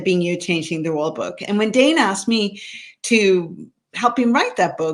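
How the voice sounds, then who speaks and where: In a Swedish accent, a woman speaks at a medium pitch with lively intonation. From Sweden. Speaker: author. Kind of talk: interview.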